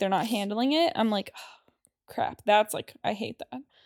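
A woman speaks in a plain, everyday voice, fairly high in pitch and at a fairly quick pace. The recording is very clean with a silent background, and the sound is dry and close with no echo. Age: 30s. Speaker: podcast co-host. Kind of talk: casual chat.

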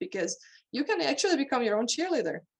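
A woman with a Hungarian accent talks with lively intonation. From Hungary. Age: 20s. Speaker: horse trainer and mental coach. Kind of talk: interview.

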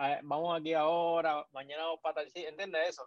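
With monotone, flat intonation, a man speaks at a moderate pace and a fairly high pitch. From Puerto Rico, Naguabo. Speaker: sports podcaster. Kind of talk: casual chat.

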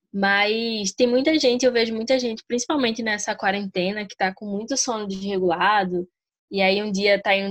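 A woman at medium pitch uses a normal speaking voice and fairly even intonation at a moderate pace. The sound is dry and close with no echo, a very clean recording with a silent background. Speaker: podcast host. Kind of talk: casual chat.

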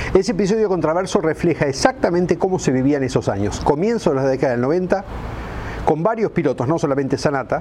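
Over noticeable background noise, a man with a fairly high voice talks very fast with lively intonation. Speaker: motorsport radio host. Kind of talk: scripted narration. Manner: dramatic.

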